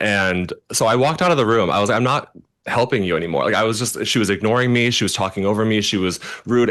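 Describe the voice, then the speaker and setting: There is a quiet background as a man speaks at a very fast pace. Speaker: celebrity makeup artist. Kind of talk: casual interview chat.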